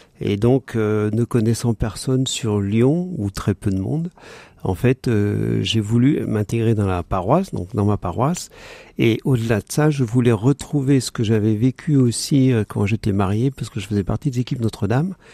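The tone is dark and mellow, delivered at a moderate pace. The sound is dry and close with no echo, on a very clean recording with a silent background. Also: man, medium pitch for a man, ordinary pitch variation. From Paris region, France. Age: 60s. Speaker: participant in a spiritual program. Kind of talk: radio interview. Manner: halting.

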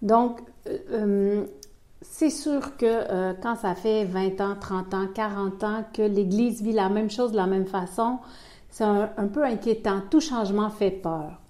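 This woman speaks very slowly in a Quebec accent, her tone dark and mellow. Her pitch sits in the medium range with ordinary variation. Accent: Québécois French. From Quebec City, Canada. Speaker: pastoral worker. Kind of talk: radio interview. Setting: office at a pastoral centre.

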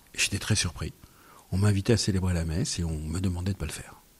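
Very fast and somewhat breathy, a man's voice sits at a very deep, low pitch. His pitch varies in an ordinary way. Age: 50s. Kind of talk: radio interview. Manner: halting.

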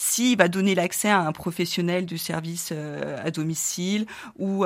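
A woman with an ordinary speaking voice, fairly low in pitch, with fairly even intonation. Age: 40s. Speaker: founder of a digital platform for family carers. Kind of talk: radio interview.

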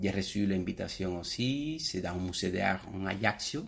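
A man's fairly low voice with a Cuban accent. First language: Spanish (speaking French). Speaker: painter and art teacher. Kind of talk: radio interview. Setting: in his art studio. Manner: halting, repeats words.

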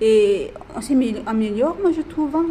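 A woman's voice with noticeable background noise. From Madagascar. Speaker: prison inmate. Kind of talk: group discussion. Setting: prison. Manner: halting.

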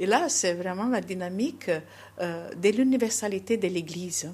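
In a Portuguese accent, a woman speaks fairly slowly with lively intonation and a somewhat breathy voice on a very clean recording with a silent background. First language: Portuguese (speaking French). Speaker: nun. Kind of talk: interview. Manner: halting.

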